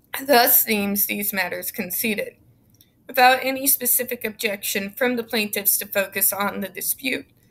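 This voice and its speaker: Her bright, sharp tone carries vocal fry, ordinary pitch variation and a moderate pace. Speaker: YouTube commentator. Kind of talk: reading aloud court documents with commentary; reading aloud a legal text with commentary. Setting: home, recording alone. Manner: informal, sarcastic. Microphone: webcam.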